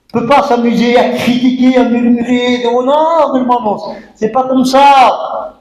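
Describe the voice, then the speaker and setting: A man talks at an extremely high pitch with ordinary pitch variation. Room echo is audible. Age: 60s. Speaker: pastor. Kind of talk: sermon. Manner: animated, emphatic.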